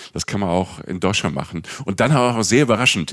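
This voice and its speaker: A man talks with lively intonation. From Palatinate, Germany. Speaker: travel podcast co-host and journalist. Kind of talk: casual chat.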